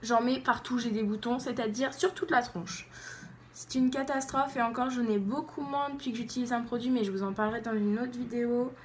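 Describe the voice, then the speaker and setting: Ordinary pitch variation and a fairly quick delivery from a woman pitched high. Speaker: beauty YouTuber. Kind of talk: makeup tutorial. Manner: animated.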